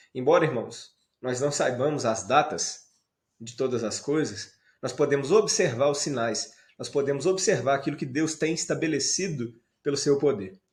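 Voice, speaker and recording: This man's voice is fairly high and somewhat breathy. He moves at a moderate pace with ordinary pitch variation. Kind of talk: sermon.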